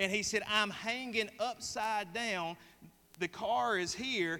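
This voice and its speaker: Speaking with a Southern US accent, a man projects a raised voice with a bright, sharp tone, high pitch and ordinary pitch variation. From US South. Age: 30s. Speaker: pastor. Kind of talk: sermon. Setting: church.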